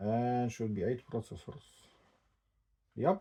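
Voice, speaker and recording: Speaking at a very slow pace with a non-native accent, a man has a dark, mellow tone that is somewhat breathy. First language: not English. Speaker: tech unboxing vlogger. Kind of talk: casual unboxing commentary. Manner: halting.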